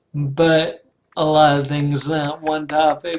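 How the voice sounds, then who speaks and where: Over music in the background, a man with a fairly high pitch speaks at a very slow pace. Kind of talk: casual talk to camera. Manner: slow, hesitant.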